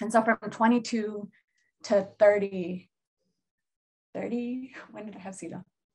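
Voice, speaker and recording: Speaking with an American accent, a woman at medium pitch goes at a very slow pace with long, frequent pauses, a somewhat breathy voice, fairly even intonation and big swings in loudness. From Seattle, US Pacific Northwest. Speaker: therapist and healer. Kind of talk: casual chat.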